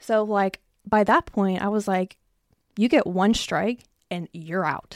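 The woman talks at a fairly slow pace and a medium pitch, with a dry, close sound and no echo. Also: very clean recording, silent background. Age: 20s. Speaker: podcast host. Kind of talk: casual chat.

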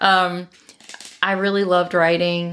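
A woman with an American accent at a fairly slow pace, in a monotone, flat intonation. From Maryland, US. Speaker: podcast guest. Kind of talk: casual chat.

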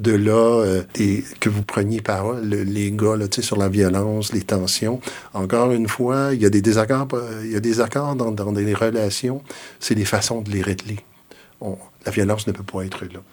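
This is a plain, everyday voice from a man, fairly low in pitch. He speaks at a fairly slow pace with fairly even intonation. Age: 60s. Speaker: retired school principal and education consultant. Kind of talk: interview conversation.

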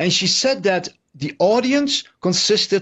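A man with a Dutch accent speaks at a very slow pace. His voice is high-pitched and moves in very wide pitch swings. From Netherlands. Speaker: investigative journalist. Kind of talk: interview. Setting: video call.

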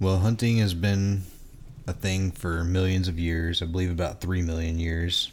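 Speaking at a moderate pace, a man uses a very deep, low pitch with monotone, flat intonation. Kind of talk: casual chat.

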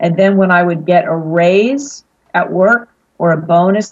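A woman speaks with an American accent and a fairly low pitch. She has an unremarkable speaking voice with ordinary pitch variation. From Pittsburgh, Pennsylvania. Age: 40s. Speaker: financial advisor. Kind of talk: interview.

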